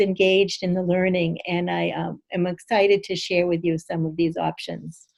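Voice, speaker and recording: Against a quiet background, a woman with an American accent speaks at a moderate pace in a dark, mellow tone. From Massachusetts, Boston area. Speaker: assistive technology consultant; presenter. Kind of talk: webinar presentation. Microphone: webcam.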